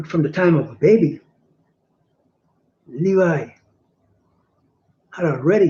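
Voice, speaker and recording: At a fairly slow pace, the speaker leaves long, frequent pauses. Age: 60s. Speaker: religious teacher. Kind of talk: sermon. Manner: halting.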